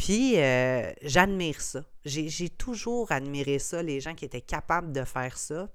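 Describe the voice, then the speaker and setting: Ordinary pitch variation in a woman's very deep, low voice. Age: 30s. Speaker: podcast host, entrepreneur. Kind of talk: casual solo monologue.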